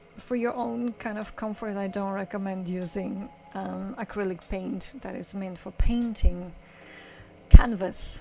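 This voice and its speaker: A woman at a medium pitch, very slow, with ordinary pitch variation, over music in the background. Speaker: photographer. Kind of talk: casual vlog explanation. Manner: halting, many fillers.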